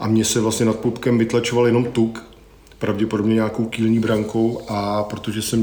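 Over noticeable background noise, a man speaks in a monotone, flat delivery at a fairly low pitch. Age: 40s. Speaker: sensory marketer and musician, former roadie. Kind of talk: casual interview chat.

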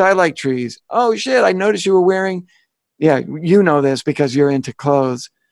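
On a very clean recording with a silent background, a man uses a plain, everyday voice with lively intonation at a moderate pace. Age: 50s. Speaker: podcast co-host. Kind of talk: casual chat.

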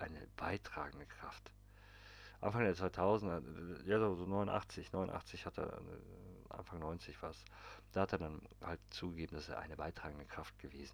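A man's very deep, low pitch with vocal fry, very wide pitch swings, big swings in loudness, a fairly slow pace and long, frequent pauses. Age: 30s. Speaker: podcast host. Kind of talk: casual monologue. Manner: animated.

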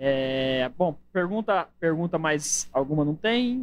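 A man speaks with a fairly high voice and lively intonation. Noticeable background noise runs underneath. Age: 20s. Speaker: podcast host. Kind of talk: casual chat.

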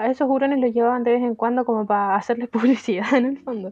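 Speaking with a Chilean accent, a woman has a fairly high pitch. She moves at a fairly quick pace with ordinary pitch variation. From Chile, Viña del Mar. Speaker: podcast co-host. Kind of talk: casual chat.

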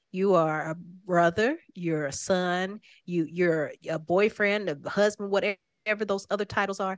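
A woman uses a normal speaking voice at medium pitch, with fairly even intonation and a fairly slow pace. The sound is dry and close with no echo, over a quiet background. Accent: American. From Oklahoma, Tulsa. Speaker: singer-songwriter. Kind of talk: casual interview. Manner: laughs often.

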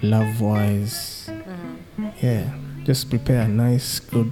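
With music playing in the background, the speaker's pitch rises and falls in an ordinary way. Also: man. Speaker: podcast guest. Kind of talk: casual conversational.

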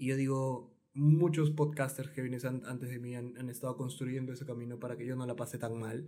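A man's medium-pitched voice with a dark, mellow tone, fairly even intonation and a fairly quick pace, with audible room echo. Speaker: podcast host. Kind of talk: casual interview. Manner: stammering, repeats words.

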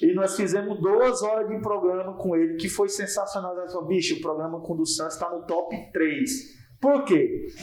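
A man's high-pitched voice at a moderate pace with hardly any pauses, over noticeable background noise. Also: ordinary pitch variation. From Porto Nacional, Tocantins, Brazil. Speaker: comedian. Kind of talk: casual chat.

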